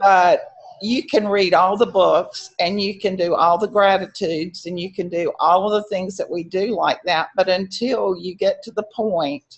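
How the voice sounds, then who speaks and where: A woman with a normal speaking voice talks at a fairly slow pace. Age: 60s. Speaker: member asking a question on a live Q&A. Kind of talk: casual Q&A remarks.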